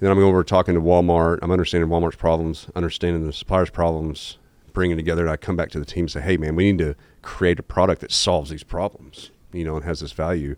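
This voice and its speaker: In a Southern US accent, a man with a very deep, low voice talks very fast in a flat monotone. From Arkansas, Jonesboro. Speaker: entrepreneur and business executive. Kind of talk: candid interview conversation.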